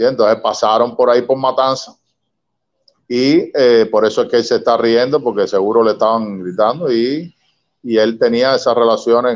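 The speaker is a man. The background is quiet. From Cuba, Havana; Cuba. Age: 60s. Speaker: son of a revolutionary commander; interview guest. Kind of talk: interview. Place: home room. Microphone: video call.

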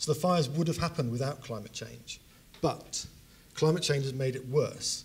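This man's intonation stays fairly even, his voice somewhat breathy. He rushes along at a very fast pace. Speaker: speaker. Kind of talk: lecture. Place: hall. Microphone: handheld.

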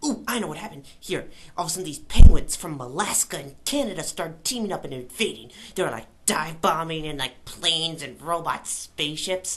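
The voice moves at a fairly quick pace over clear background noise. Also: woman, fairly low pitch for a woman. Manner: fast, rambling, excited, with sound effects.

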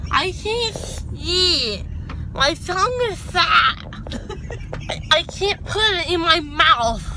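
At a very slow pace, a woman talks in an extremely high pitch, with a dry sound with no echo and noticeable background noise. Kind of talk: casual vlog chat. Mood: groggy, drowsy, giggly. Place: car. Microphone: phone near.

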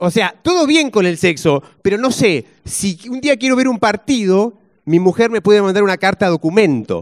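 A man with a Rioplatense accent at a high pitch and fairly slow pace, against a quiet background. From Argentina. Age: 40s. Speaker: stand-up comedian. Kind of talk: stand-up comedy set with audience banter. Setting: stage with audience. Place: stage. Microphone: handheld.

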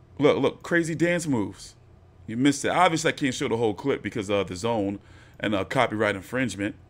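In a very clean recording with a silent background, a man at medium pitch talks very fast, his tone animated and his intonation lively. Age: 40s. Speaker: boxing commentary youtuber. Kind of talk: fight reaction commentary.

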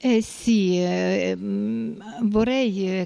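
A woman's voice at medium pitch. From Moldova. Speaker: home caregiver. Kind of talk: interview. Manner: halting. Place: office. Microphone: handheld.

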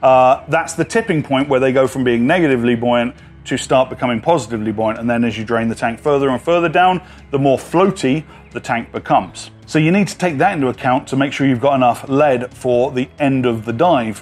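A fairly quick-paced man with ordinary pitch variation over faint music in the background. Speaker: dive instructor. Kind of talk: tutorial. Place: garden.

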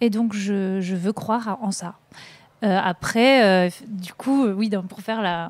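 Very slowly, a woman speaks at a medium pitch with ordinary pitch variation. The recording is very clean, with a silent background. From northern France. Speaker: documentary filmmaker. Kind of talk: interview. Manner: hesitant, many fillers.

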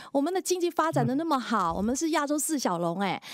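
Over a quiet background, a woman talks at a fairly quick pace. Her pitch swings very widely, and the sound is dry with no echo. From Singapore. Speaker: radio host. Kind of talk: TV panel chat. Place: studio. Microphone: headset.

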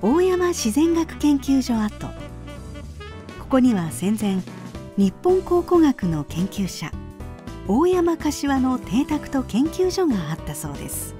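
With music in the background, a woman speaks at a very slow pace with long, frequent pauses, her fairly high voice making very wide pitch swings. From Kumamoto, Japan. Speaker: narrator. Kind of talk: travel documentary narration.

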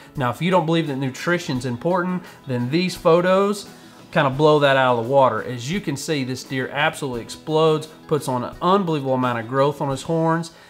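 Faint music plays in the background. Over it, a man talks with ordinary pitch variation. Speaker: hunting show host. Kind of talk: interview answer. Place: home room.

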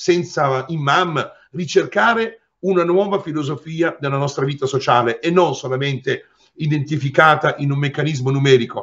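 A man's moderate pace and ordinary pitch variation come through against a quiet background. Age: 60s. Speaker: lawyer. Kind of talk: interview. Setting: remote video call. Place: office. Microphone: webcam.

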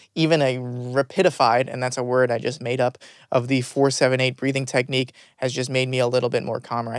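A raspy, put-on character voice from a man, medium in pitch, fairly quick and monotone with flat intonation. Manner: calmer.

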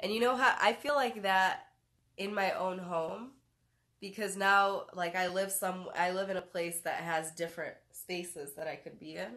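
Against a quiet background, a woman with a Midwestern US accent and a bright, sharp tone speaks at a moderate pace with ordinary pitch variation. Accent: US Midwest. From Detroit, US Midwest. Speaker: talk show host. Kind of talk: casual chat. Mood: relaxed, warm. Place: home room. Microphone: phone near.

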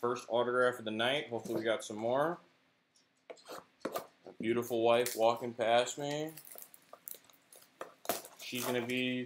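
Speaking at a moderate pace, a man leaves long, frequent pauses while noticeable background noise runs underneath. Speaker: card break host. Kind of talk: casual live-stream commentary. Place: home room.

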